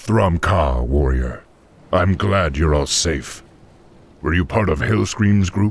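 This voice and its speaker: A put-on character voice from a man, very deep and low in pitch, delivered fairly slowly. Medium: video game. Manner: gruff, commanding.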